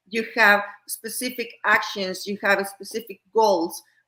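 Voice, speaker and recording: A woman speaks with a Spanish accent at a moderate pace. Her voice sits at a medium pitch. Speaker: educator. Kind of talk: podcast interview. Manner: halting.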